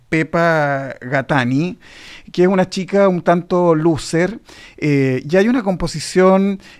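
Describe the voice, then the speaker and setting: A man at a fairly slow pace with ordinary pitch variation against a quiet background. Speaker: theatre commentator on radio. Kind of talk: radio commentary, theatre review. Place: studio. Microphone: studio mic.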